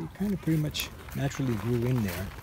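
Noticeable background noise behind a male voice, dry and without any echo. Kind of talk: casual garden tour narration. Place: garden. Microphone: phone near.

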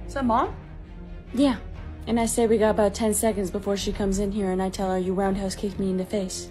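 Over clear background music, a woman speaks very fast with fairly even intonation. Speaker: sketch comedian playing multiple characters. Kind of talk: comedy sketch dialogue. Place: home room. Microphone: phone near.

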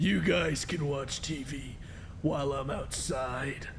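Over loud background noise, a man puts on a character voice with a fairly high pitch, speaking at a very slow pace. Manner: creepy.

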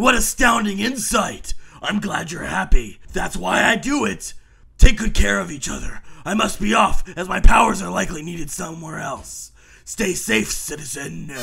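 A man does a raspy, cartoonish character voice pitched high, at a moderate pace with big swings in loudness. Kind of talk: comic superhero pastiche. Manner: heroic, self-assured, chipper.

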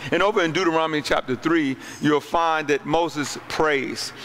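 With light background noise behind him, a man talks at a fairly slow pace. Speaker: pastor. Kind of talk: sermon. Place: hall. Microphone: handheld.

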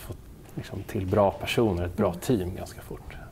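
There is light background noise as a man speaks at a moderate pace. He has a normal speaking voice with ordinary pitch variation. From Netherlands. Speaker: entrepreneur, founder of an online seed company. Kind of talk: interview. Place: home room.

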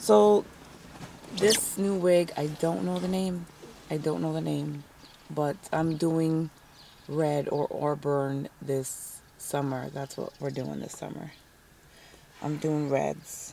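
The speech is very slow, with long, frequent pauses and lively intonation. The sound is dry with no echo, over light background noise. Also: woman, very deep, low pitch for a woman. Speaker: vlogger, stay-at-home mom; home mom vlogger. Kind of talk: casual vlog chat. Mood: playful, upbeat. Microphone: phone near.

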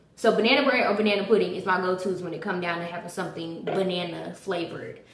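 A woman talks at a very fast pace with ordinary pitch variation, and audible room echo surrounds her voice. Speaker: cooking vlogger. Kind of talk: casual vlog chat. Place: kitchen. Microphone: camera far.

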